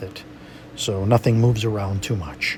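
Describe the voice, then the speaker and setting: A man's fairly low voice comes through over noticeable background noise. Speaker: watercolor painting instructor. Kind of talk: tutorial. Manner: animated.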